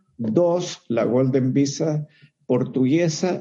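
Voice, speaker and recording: The man's voice sits at a fairly high pitch. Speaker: lawyer. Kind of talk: casual chat.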